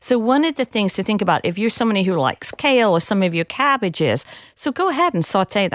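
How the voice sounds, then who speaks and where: On a very clean recording with a silent background, a woman talks at a very fast pace with very even loudness, a fairly high pitch and very wide pitch swings. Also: dry, close sound with no echo. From England. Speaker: dietitian and genomic scientist. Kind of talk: interview.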